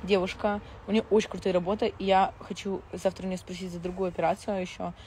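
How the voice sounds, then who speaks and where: A woman is speaking. The sound is dry with no echo, over light background noise. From Moscow, Russia; Russia. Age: 20s. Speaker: reality TV personality; blogger. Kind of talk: live stream chat with viewers. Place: garden. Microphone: lapel.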